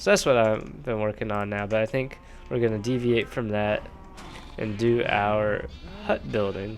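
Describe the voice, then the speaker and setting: Music plays in the background. A man speaks at a moderate pace with fairly even intonation. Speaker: gaming video creator. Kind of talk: casual gameplay commentary.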